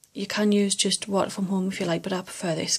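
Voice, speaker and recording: A soft-spoken woman talks at a medium pitch with fairly even intonation. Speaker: makeup seller and beauty vlogger. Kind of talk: tutorial.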